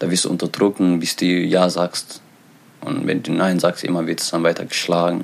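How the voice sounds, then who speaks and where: With noticeable background noise behind him, a man with a very deep, low pitch speaks at a moderate pace in a monotone, flat intonation. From Eritrea. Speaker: author and refugee. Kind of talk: interview. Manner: halting.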